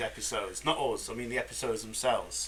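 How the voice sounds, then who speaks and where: A man amid noticeable background noise. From Manchester, England. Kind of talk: casual podcast banter.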